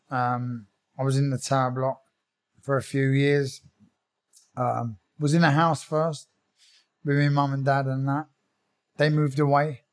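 In a South London accent, a man talks at a fairly slow pace with long, frequent pauses, his fairly high voice flat and monotone. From South London (Croydon), England. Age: 40s. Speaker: bare knuckle fighter and former pro boxer. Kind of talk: interview, personal life story.

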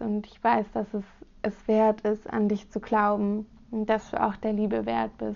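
A woman speaks at a fairly slow pace. Her fairly high voice has a dark, mellow tone. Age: 20s. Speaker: podcast host, student. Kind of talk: solo podcast introduction.

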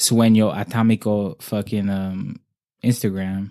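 This man has an American accent and a dark, mellow tone at a fairly low pitch. His intonation is fairly even, and the recording is very clean with a silent background. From Oxnard, California, US. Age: 20s. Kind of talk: casual chat. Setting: in person, sitting across from host.

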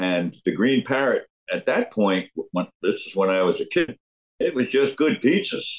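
Someone speaks at a moderate pace with a New Jersey accent. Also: man. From New Jersey, Jersey Shore (Neptune). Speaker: rock drummer. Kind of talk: interview storytelling. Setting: video call.

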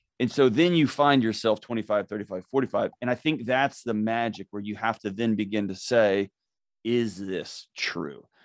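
A plain, everyday voice at a moderate pace, ordinary pitch variation, and a dry, close sound with no echo. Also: man. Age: 40s. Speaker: mental health expert and author. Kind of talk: casual interview. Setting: remote call.

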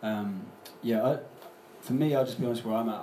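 A man with a fairly low pitch talking at a very fast pace, with audible room echo and noticeable background noise. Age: 30s. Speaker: public speaker. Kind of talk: live panel discussion. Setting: stage with audience.

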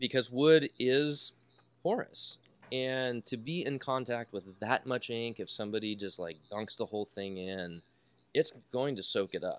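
A man with an unremarkable speaking voice talks at a fairly slow pace in a medium pitch with ordinary pitch variation, captured in a very clean recording with a silent background and a dry, close sound with no echo. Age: 40s. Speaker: pen maker and woodworking artist. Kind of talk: casual chat.

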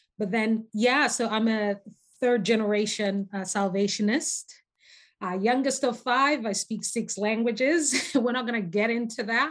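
In a slight North American accent, a woman speaks at a fairly slow pace with a fairly high pitch and ordinary pitch variation. The background is quiet. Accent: slight North American twang. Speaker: podcast guest, researcher. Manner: warm, conversational, frequent filler phrases.

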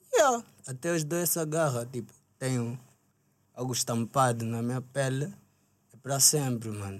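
At a fairly slow pace, a man uses an ordinary speaking voice of medium pitch with ordinary pitch variation. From Angola, Luanda. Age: 20s. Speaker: rapper. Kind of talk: casual chat. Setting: studio.

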